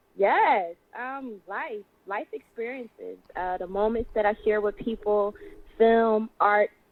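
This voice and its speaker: Here a woman speaks in a Philadelphia accent at a fairly high pitch. Her pace is very slow, and her loudness swings a lot. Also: ordinary pitch variation. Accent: American, Philadelphia. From US, Philadelphia. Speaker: singer and actress. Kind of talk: radio interview.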